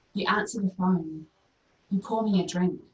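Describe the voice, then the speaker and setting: With a strong New Zealand accent, a woman speaks in a somewhat breathy voice. Her intonation is fairly even. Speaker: poet. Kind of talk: poetry reading.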